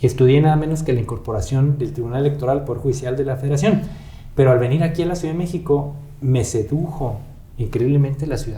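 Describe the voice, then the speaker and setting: In a northern Mexican accent, a man talks very fast at a fairly high pitch with ordinary pitch variation and audible room echo. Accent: northern Mexican (Chihuahua). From Chihuahua, northern Mexico (Parral, Santa Bárbara). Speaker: judicial council member and candidate for supreme court justice. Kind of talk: interview.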